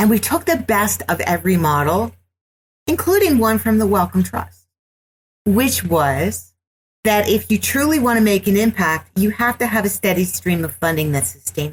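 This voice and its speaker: A woman with a medium pitch and vocal fry speaks at a moderate pace, her pitch swinging very widely. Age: 60s. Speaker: business executive and entrepreneur. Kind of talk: podcast interview.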